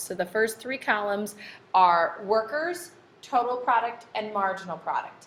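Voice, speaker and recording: With ordinary pitch variation and a fairly slow pace, the speaker has a plain, everyday voice. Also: woman. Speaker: high school economics teacher. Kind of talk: tutorial.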